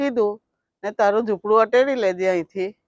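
Her voice is a plain, everyday voice, pitched fairly high for a woman. The sound is dry and close, with no echo. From Ankleshwar, Gujarat, India. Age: 60s. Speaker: slum resident, complainant. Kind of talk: news interview testimony.

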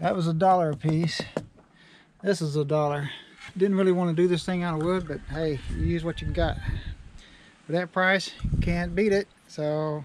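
Over light background noise, a man with a high voice talks at a moderate pace with ordinary pitch variation, the sound dry with no echo. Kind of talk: casual vlog chat. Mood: relaxed, good-humored. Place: open country. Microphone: phone near.

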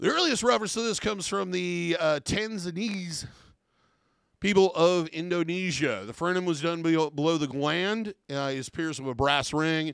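An American accent at a moderate pace with ordinary pitch variation, in a dry sound with no echo and a quiet background. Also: man, high pitch for a man. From US Midwest. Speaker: professional body piercer. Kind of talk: tutorial. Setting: studio. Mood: relaxed, mildly jokey. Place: office. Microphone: studio mic.

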